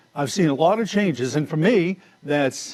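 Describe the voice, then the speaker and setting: Over noticeable background noise, a man speaks at a moderate pace with lively intonation and a fairly high pitch. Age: 60s. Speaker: TV meteorologist. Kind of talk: weather forecast; farewell speech.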